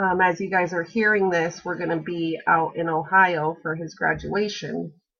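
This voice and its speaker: A woman speaks with an American accent at a moderate pace. Her fairly low voice stays monotone and flat. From Alaska, Kenai Peninsula. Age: 30s. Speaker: college student. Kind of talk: class introduction video. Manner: hesitant, frequent fillers.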